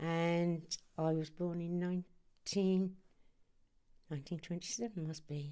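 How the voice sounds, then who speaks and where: A dark, mellow tone in a Norfolk accent, with monotone, flat intonation and long, frequent pauses. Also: woman, fairly low pitch for a woman. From Norwich, eastern England. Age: 90. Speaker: interviewee, war-era wife. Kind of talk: oral history interview. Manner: halting, with fillers.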